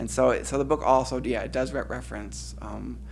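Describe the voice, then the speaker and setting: A man with an American accent speaks at a moderate pace in a monotone, flat way with vocal fry. Room echo is audible. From Cleveland, Ohio, US Midwest. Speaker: poet. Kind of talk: audience Q&A after a poetry reading. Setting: reading event with audience. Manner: halting, many repetitions.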